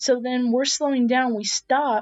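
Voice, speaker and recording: Loud and high-pitched, a woman with an American accent speaks at a moderate pace. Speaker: streamer. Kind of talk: casual storytelling.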